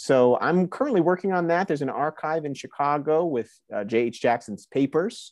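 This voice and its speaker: A man with an American accent, fairly high pitched and lively in intonation, at a moderate pace, in a dry, close sound with no echo and a quiet background. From New Jersey. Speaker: professor of preaching. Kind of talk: interview. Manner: halting.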